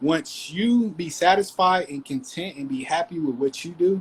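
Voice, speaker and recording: A man talks in an ordinary speaking voice at a moderate pace, with ordinary pitch variation. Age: 30s. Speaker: discussion participant. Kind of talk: group discussion.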